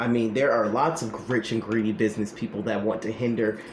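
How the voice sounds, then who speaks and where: A man at medium pitch talks in an animated tone against noticeable background noise. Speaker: spiritual practitioner and political commentator. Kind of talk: tarot-style card reading monologue. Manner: loud.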